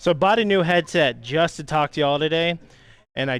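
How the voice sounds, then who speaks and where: The man's voice has a high pitch and ordinary pitch variation. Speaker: streamer building a PC. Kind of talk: live stream tutorial. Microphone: new headset mic.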